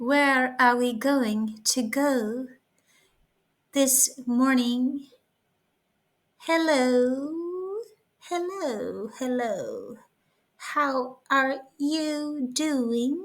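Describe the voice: In a put-on character voice, a woman speaks with a high pitch. Her pace is very slow, broken by long, frequent pauses.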